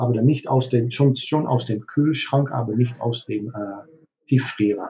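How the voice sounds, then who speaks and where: A man with a Dutch accent speaks at a fairly slow pace. His medium-pitched voice is somewhat breathy, with fairly even intonation. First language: Dutch (speaking German). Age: 50s. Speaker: hotelier. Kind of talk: interview. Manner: halting, many fillers.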